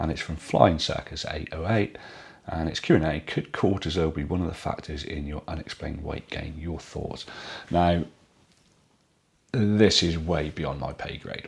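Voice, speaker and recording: A man's very deep, low, somewhat breathy voice with a British accent, fairly even intonation and moderate pace. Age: middle-aged. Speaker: YouTuber vlogging a weight loss journey. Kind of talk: casual vlog with viewer Q&A. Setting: at home in dining room, to camera.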